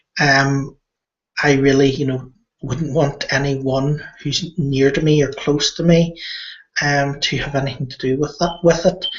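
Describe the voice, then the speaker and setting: Fairly slow and monotone, a man speaks in a somewhat breathy voice with a fairly high pitch and flat intonation. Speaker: internet marketer vlogger. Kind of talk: casual monologue. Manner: halting, many fillers.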